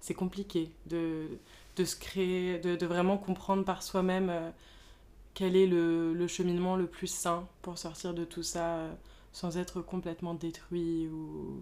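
In a very clean recording with a silent background, a woman speaks very slowly in a fairly low, dark, mellow voice with monotone, flat intonation. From Paris, France. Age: 20s. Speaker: podcast guest. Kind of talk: casual chat. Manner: halting.

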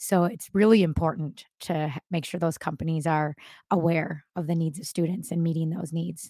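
A woman with an American accent speaks at a moderate pace in a fairly low pitch. Her tone is dark and mellow, with fairly even intonation. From Minnesota. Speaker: elementary school teacher. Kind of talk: interview podcast.

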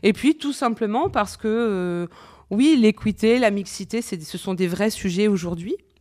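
A woman with an unremarkable speaking voice, medium pitch, ordinary pitch variation and a fairly slow pace. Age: 40s. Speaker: insurance consultant and association founder. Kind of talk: radio interview.

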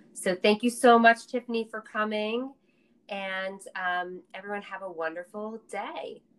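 Speaking at a fairly slow pace with an American accent, a woman has a plain, everyday voice, a fairly high pitch, and ordinary pitch variation. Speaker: podcast host. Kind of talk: interview, casual conversation.

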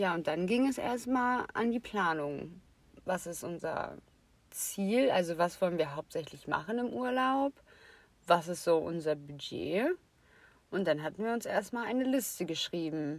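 A woman talks at a fairly low pitch and a fairly slow pace, with very wide pitch swings and long, frequent pauses. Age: 20s. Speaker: podcast co-host. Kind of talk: casual chat.

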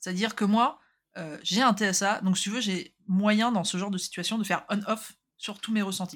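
In a very clean recording with a silent background, a somewhat breathy woman speaks at medium pitch and a moderate pace with fairly even intonation. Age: 30s. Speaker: podcast co-host. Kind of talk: casual chat. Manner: halting.

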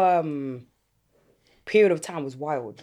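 With a London accent, a woman speaks at a fairly slow pace. The recording is very clean, with a silent background. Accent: London Multicultural English. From London, Catford, South East. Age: 30s. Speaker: podcast host. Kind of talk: casual chat.

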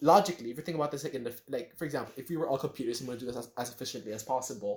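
A man with an American accent, medium pitch, ordinary pitch variation, a somewhat breathy quality and a very fast pace. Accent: Filipino-inflected American-sounding English. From Philippines. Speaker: podcast co-host. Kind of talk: casual chat. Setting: remote recording.

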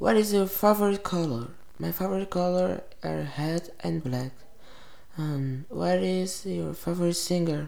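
In a Portuguese accent, a woman speaks at a fairly slow pace with a dark, mellow tone. Her pitch is fairly low, and room echo is audible. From Brazil. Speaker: vlogger. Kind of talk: casual self-interview. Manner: giggly.

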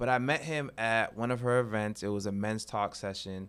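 A man with an American accent talks at a moderate pace. His intonation is fairly even, in an unremarkable speaking voice. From Massachusetts. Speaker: teacher and mentor. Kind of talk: casual chat. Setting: studio.

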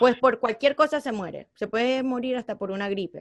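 A woman with a Venezuelan accent and ordinary pitch variation. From Venezuela (born in Colombia). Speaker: DJ and media personality. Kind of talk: casual interview.

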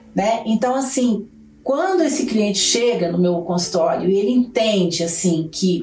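Speaking at a medium pitch and a fairly slow pace, a woman uses lively intonation at a very even loudness, with audible room echo and noticeable background noise. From Brazil, Belo Horizonte (Minas Gerais). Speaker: psychologist. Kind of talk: interview.

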